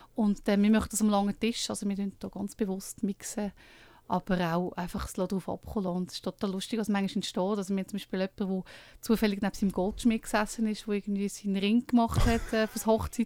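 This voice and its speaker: A woman's medium-pitched, dark and mellow voice, flat and monotone at a very fast pace, in a very clean recording with a silent background. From Switzerland, Lucerne. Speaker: book co-author and dinner event host. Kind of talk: radio interview.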